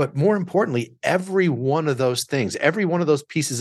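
A man with an American accent speaks in a plain, everyday voice at a fairly quick pace. His intonation is lively, and the background is quiet. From Southern Illinois. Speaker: business lawyer and coach. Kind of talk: casual chat.

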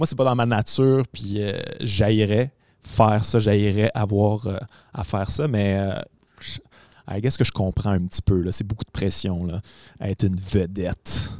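A man with a Quebec accent and a fairly low pitch speaks at a fairly slow pace. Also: ordinary pitch variation. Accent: Québécois French. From Quebec City. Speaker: podcast host and comedian. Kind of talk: casual chat. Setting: performance venue, no audience.

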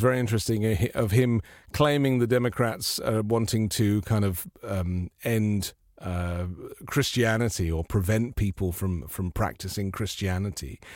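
In a very clean recording with a silent background, a man with a normal speaking voice talks at a fairly low pitch and a moderate pace, his intonation lively. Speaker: journalist and broadcaster. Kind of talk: live political talk show. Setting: live video stream.

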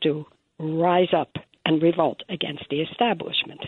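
At a fairly slow pace, a normal speaking voice comes through with an American accent. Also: woman. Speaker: caller. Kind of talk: casual chat. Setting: phone call.

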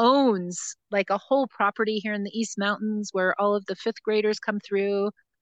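With an ordinary speaking voice, a woman talks at a moderate pace and fairly high pitch, the sound dry and close with no echo against a quiet background. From US Northeast, New Jersey. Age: 50s. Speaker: forest school founder and educator. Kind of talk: casual interview. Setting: outdoors in a forest, remote call.

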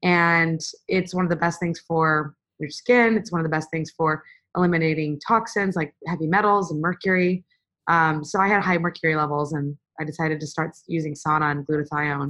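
Using a normal speaking voice, a woman with an American accent speaks at a fairly low pitch and a moderate pace with fairly even intonation. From USA. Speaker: physician. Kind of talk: interview. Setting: video call.

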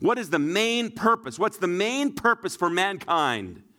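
A man with a western Canadian accent, bright, sharp tone and fairly slow pace, on a very clean recording with a silent background. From Shuswap region, British Columbia, Canada. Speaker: pastor. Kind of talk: sermon.

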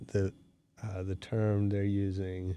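A man speaks with an American accent in a fairly low pitch. His tone is dark and mellow, his intonation monotone and flat. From US West Coast (San Francisco). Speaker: podcast host. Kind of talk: casual interview. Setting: studio.

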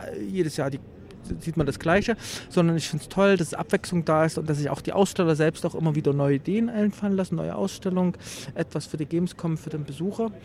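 A man with an unremarkable speaking voice, fairly high pitched, at a fairly quick pace with ordinary pitch variation. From Leipzig, eastern Germany. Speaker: retro exhibition organizer and collector. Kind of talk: trade fair interview. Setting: exhibition hall at a games fair.

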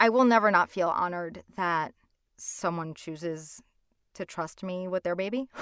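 An unremarkable speaking voice with an American accent moves at a moderate pace with ordinary pitch variation, dry and close with no echo, on a very clean recording with a silent background. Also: woman, fairly low pitch for a woman. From Hudson County, New Jersey. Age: young. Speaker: audiobook narrator and actor. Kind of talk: interview.

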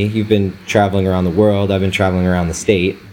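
Background noise is clearly audible here. Through it comes a man's voice. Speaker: photographer and podcast host. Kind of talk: casual chat.

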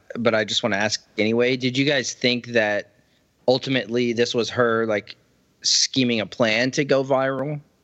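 A man with a plain, everyday voice speaks at a moderate pace and medium pitch, his intonation fairly even and his loudness very even. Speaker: podcast host. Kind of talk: casual chat.

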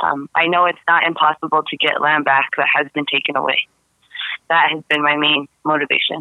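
This woman speaks fairly quickly in a monotone, flat delivery, her pitch very deep and low for a woman. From Taos Pueblo, New Mexico. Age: 20s. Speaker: activist. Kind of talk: interview.

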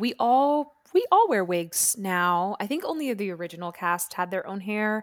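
In a normal speaking voice, a woman with a fairly high pitch talks fairly slowly, her intonation lively. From Florida, US (born New York, moved at six). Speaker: Broadway actress and singer. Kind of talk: casual chat. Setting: video call.

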